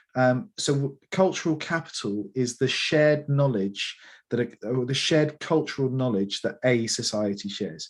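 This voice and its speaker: Somewhat breathy and fairly high-pitched, a man speaks with an East Midlands accent and lively intonation. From England, Lincolnshire. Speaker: founder of an educational gaming company. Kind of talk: interview.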